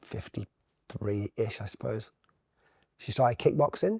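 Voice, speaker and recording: A man with a fairly low, somewhat breathy voice and ordinary pitch variation is heard in a dry, close sound with no echo on a very clean recording with a silent background. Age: 50s. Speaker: brand consultant and entrepreneur. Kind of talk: podcast interview. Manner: fast.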